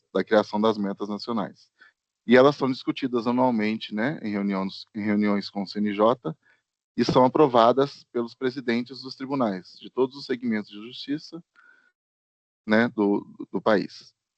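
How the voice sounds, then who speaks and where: This man has an ordinary speaking voice of medium pitch, with ordinary pitch variation, big swings in loudness and a moderate pace. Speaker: court statistician. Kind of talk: online workshop presentation.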